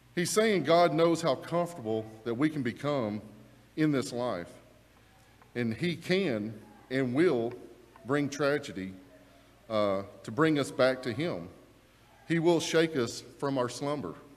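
With music in the background, a man talks at a fairly slow pace, leaving long, frequent pauses. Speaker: preacher. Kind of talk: sermon. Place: church. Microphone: lapel.

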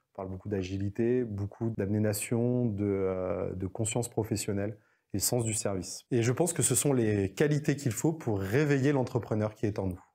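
Against a quiet background, a man with a fairly low pitch and a dark, mellow tone talks at a moderate pace with ordinary pitch variation. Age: 40s. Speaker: entrepreneur. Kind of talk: interview monologue. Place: studio. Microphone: lapel.

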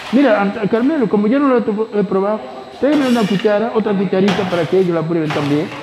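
Very fast and lively in intonation, a man talks at a high pitch with very even loudness. Noticeable background noise runs underneath. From Gran Canaria, Canary Islands. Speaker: priest. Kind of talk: casual chat. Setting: outdoors. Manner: animated. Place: factory. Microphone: phone near.

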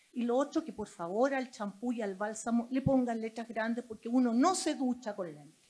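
With a dark, mellow tone, a woman talks at a moderate pace and hardly any pauses. Her intonation is lively, and her loudness swings widely. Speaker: doctor, audience member; audience member. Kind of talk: audience comment. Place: hall.

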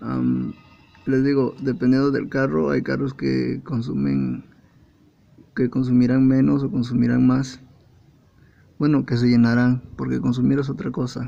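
Speaking at a fairly slow pace with long, frequent pauses, a man talks in a Mexican accent. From Mexico. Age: 20s. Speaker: computer assembler. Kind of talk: casual car repair tutorial. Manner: casual, joking. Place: car.

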